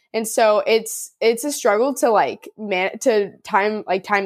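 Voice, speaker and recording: Speaking with a Californian accent, a woman uses a fairly high pitch, an animated tone and ordinary pitch variation. The recording is very clean, with a silent background. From Southern California, Orange County. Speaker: college athlete and hiking content creator. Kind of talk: casual interview chat. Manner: animated, frequent fillers like 'like' and 'um'.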